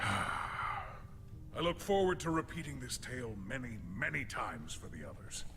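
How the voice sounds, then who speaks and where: A man's put-on character voice at a moderate pace with hardly any pauses, over clear background noise. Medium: video game. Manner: formal, deadpan, literal.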